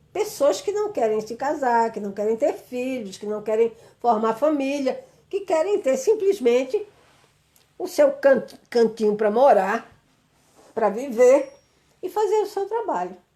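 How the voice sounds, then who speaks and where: A woman speaks at a fairly slow pace with long, frequent pauses. Her high voice has a dark, mellow tone and very wide pitch swings. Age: 60s. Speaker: psychologist and speaker. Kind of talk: live stream talk. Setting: live video stream.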